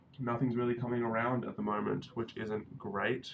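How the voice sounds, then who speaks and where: A man talks with an Australian accent. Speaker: 3D animator and live streamer. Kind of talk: casual live stream chat.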